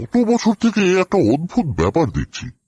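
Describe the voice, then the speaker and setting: A man puts on a character voice, high in pitch with very wide pitch swings. He goes at a moderate pace, and the sound is dry and close with no echo. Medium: audio drama. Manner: polite, earnest.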